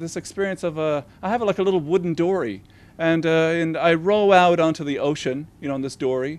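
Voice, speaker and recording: Over a quiet background, a man talks at a fairly quick pace in a Newfoundland accent. His pitch is high, with ordinary pitch variation. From Newfoundland, Canada. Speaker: novelist. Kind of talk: interview about his book. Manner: halting, many fillers and restarts.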